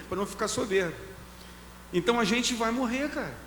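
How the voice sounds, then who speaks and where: A man talks fairly quickly in a high pitch with lively intonation. Noticeable background noise sits behind him. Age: 60s. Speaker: pastor. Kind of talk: casual chat.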